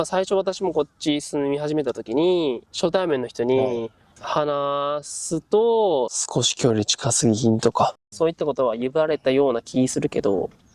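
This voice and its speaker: Dry and close with no echo, a man in a Kansai accent speaks at a fairly slow pace and fairly high pitch, with lively intonation and hardly any pauses. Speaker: Japanese language teaching host. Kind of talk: interview questions to guests.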